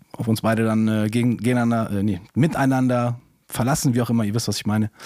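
In a very clean recording with a silent background, a man speaks in a dark, mellow tone with flat, monotone intonation. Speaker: podcast co-host. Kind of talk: casual podcast chat.

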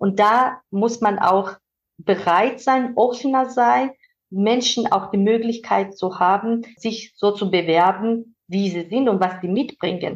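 Very slowly, a woman speaks at medium pitch. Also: ordinary pitch variation. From Georgia. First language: Georgian (speaking German). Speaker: manager and mentor. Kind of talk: interview conversation. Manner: hesitant with fillers.

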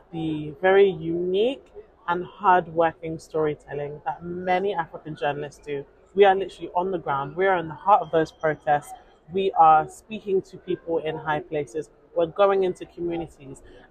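Over noticeable background noise, a woman with a London accent speaks at a moderate pace in a fairly low pitch. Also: ordinary pitch variation. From London, England. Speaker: journalist. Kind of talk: interview. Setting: outdoors. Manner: animated.

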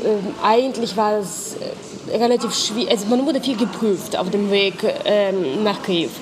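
A woman speaks at a fairly slow pace in a fairly high voice, with noticeable background noise and audible room echo. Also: ordinary pitch variation. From Ukraine (Lutsk, northwest). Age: 30s. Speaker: NGO worker, former student protester. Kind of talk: personal testimony interview. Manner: hesitant, with fillers.

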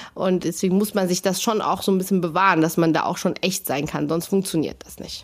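In a plain, everyday voice, the speaker moves at a fairly quick pace with fairly even intonation and hardly any pauses. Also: woman, medium pitch for a woman. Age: 40s. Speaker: kiosk owner. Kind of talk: casual interview.

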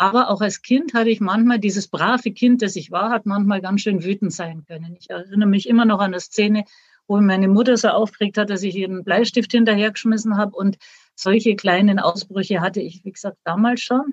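Loudness swings widely in this somewhat breathy voice, which moves at a fairly quick pace with fairly even intonation and a dry, close sound free of echo. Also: woman, medium pitch for a woman. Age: 60s. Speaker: author and retired teacher. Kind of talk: interview.

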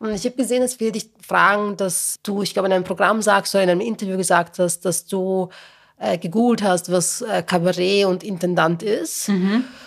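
At a fairly quick pace, a woman speaks in a plain, everyday voice, medium in pitch with fairly even intonation. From Lower Austria, working-class town. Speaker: podcast host, journalist. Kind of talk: casual chat.

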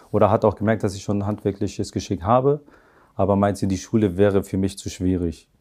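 At a fairly quick pace, a man speaks with a dark, mellow tone and a fairly low pitch. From northern Germany, Hamburg area (raised from age three, born in Afghanistan). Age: 30s. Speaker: master car painter, head of paint shop. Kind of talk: interview. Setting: in person at workplace.

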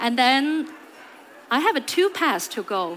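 Speaking very slowly with a Chinese accent, a woman uses a high pitch that swings very widely. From China. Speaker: HR executive. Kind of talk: conference talk. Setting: stage with audience.

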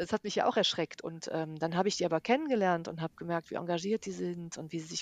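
At a very fast pace, a woman speaks in a fairly low pitch with ordinary pitch variation and a dry, close sound with no echo. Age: 50s. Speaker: yoga and mindfulness teacher. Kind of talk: interview. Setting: remote recording, partly re-recorded by herself.

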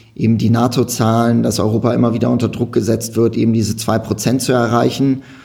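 Using monotone, flat intonation, a man talks at medium pitch and a fairly quick pace. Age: 30s. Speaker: political party community organizer. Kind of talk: casual political discussion.

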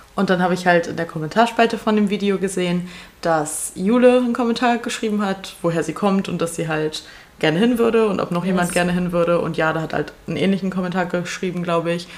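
A woman at medium pitch speaks at a very fast pace with ordinary pitch variation. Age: 20s. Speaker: podcast co-host. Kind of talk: casual chat.

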